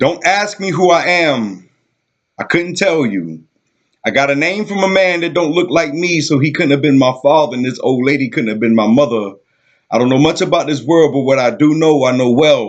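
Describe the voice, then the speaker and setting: Lively intonation marks this man's plain, everyday voice, pitched fairly high and moving at a moderate pace. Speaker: poet. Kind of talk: spoken word poetry performance.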